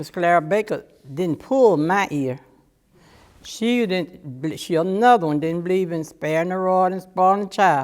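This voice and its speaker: Someone with an Alabama accent talks at a moderate pace with ordinary pitch variation, recorded very cleanly against a silent background. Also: woman, medium pitch for a woman. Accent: Southern US (Alabama). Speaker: church member. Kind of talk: oral history testimony. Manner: casual storytelling.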